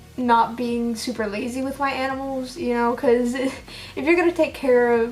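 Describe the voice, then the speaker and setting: A woman's high-pitched voice carries an audible echo from the room. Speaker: reptile pet keeper vlogger. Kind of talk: casual vlog monologue. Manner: rambling with many fillers.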